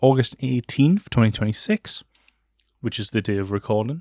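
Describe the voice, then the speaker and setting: In a very clean recording with a silent background, a man with a Geordie accent speaks in a dry, close sound with no echo. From northern England, Newcastle. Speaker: podcast host. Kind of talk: casual solo chat. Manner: hesitant, many fillers.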